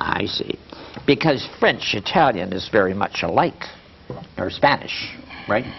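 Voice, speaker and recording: The speech moves at a fairly slow pace, broken by long, frequent pauses. Noticeable noise sits in the background. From Sicilian family background. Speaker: talk show interviewer. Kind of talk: casual interview.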